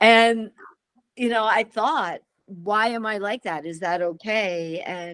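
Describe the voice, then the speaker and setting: A woman talks at a fairly slow pace in a normal speaking voice, pitched fairly high. Her intonation is lively. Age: 60s. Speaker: program participant. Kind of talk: online group sharing.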